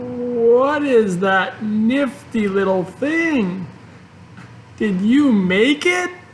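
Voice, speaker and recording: Spoken at a very slow pace, this put-on character voice sits at a fairly high pitch against clear background noise. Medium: read story. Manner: earnest, eager.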